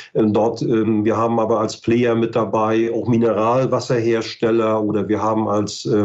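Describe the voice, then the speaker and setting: Speaking in a northern German accent, a man with a medium pitch holds a monotone, flat intonation amid audible room echo. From northern Germany, Mecklenburg-Western Pomerania. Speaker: ecology research institute director. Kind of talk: expert interview.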